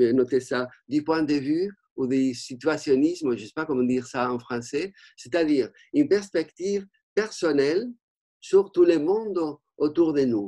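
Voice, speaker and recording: Speaking fairly slowly in a Spanish accent, a man uses lively intonation and a dark, mellow tone. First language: Spanish (speaking French). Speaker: art history professor. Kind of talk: panel discussion. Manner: halting, many hesitations.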